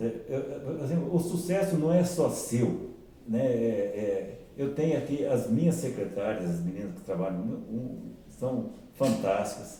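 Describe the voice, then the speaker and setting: Very wide pitch swings from a man, amid noticeable background noise and audible room echo. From Paraná, southern Brazil. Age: 70s. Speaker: orthopedic surgeon. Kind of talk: interview. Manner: halting, repeats words.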